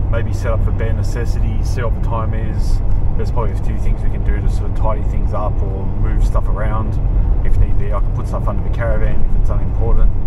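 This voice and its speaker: Speech rushes by at a very fast pace in a dry sound with no echo. Loud background noise runs underneath. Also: man. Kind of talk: casual travel commentary. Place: car. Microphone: camera far.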